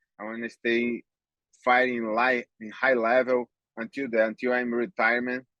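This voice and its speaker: A man with a Brazilian accent speaks at a moderate pace in a bright, sharp tone, the sound dry and close with no echo. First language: Portuguese. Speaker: MMA fighter. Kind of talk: interview. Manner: halting.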